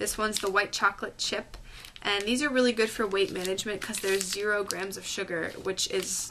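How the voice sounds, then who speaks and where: Using an unremarkable speaking voice, a woman talks at a fairly quick pace and medium pitch with fairly even intonation. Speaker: health vlogger. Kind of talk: casual vlog. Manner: chatty, filler-heavy.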